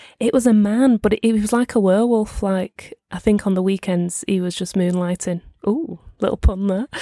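In a strong Merseyside accent, a woman with a dark, mellow tone and medium pitch speaks at a moderate pace with ordinary pitch variation, in a dry, close sound with no echo. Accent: strong northwest English, Merseyside. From Merseyside, northwest England. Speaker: podcast co-host. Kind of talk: casual chat between friends. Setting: video call, recorded remotely, in London.

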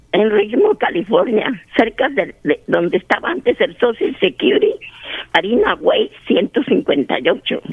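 Speech unfolds at a very slow pace. Noticeable background noise is present. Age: 80s+. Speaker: caller. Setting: phone call.

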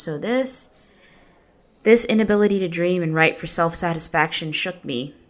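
A woman with a normal speaking voice and fairly low pitch speaks at a moderate pace, her intonation lively. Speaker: narrator, writer. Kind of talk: literary audiobook reading, personal essay narration. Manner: earnest, reflective, measured.

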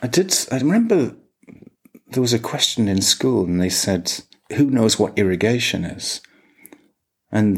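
A man with an English accent, moderate pace and ordinary pitch variation. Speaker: podcast co-host. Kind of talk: casual chat.

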